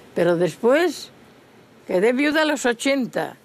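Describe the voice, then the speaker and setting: A woman with an Asturian accent speaks in a fairly high pitch. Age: 90s. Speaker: traditional folk singer. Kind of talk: casual interview.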